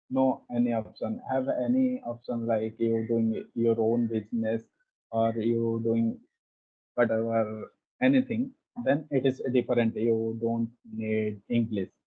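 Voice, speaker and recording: A man's medium-pitched voice in an Indian accent, fairly slow with monotone, flat intonation. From India, Odisha. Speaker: conversation practice guest. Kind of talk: casual conversation practice. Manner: halting, non-fluent English.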